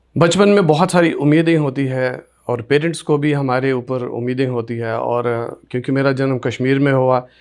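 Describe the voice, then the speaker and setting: A man speaks in an ordinary speaking voice at a medium pitch, his intonation fairly even, on a very clean recording with a silent background. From Kashmir, Sopore area (Baramulla district). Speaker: radio presenter. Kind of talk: interview, life story.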